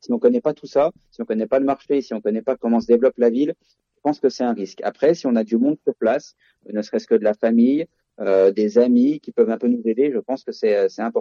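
Here a man talks at a very fast pace. His loudness swings widely while his pitch variation stays ordinary. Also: medium pitch for a man. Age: 30s. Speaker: real estate agent and investor. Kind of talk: interview.

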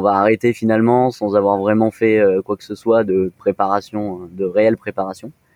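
This man has an ordinary speaking voice, fairly low in pitch, and talks at a moderate pace in a dry, close sound with no echo. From France, Nice. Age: 20s. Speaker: co-founder of a premarital preparation service. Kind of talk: interview.

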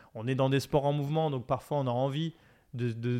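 A man speaks at medium pitch and a moderate pace, with monotone, flat intonation. The background is quiet. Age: 40s. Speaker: documentary filmmaker. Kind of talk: interview. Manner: halting, frequent repetitions.

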